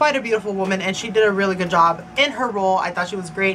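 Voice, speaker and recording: The speaker is a woman. Noticeable noise sits in the background. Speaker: movie and book reviewer. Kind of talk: casual video review. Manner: fast; chatty, lots of fillers.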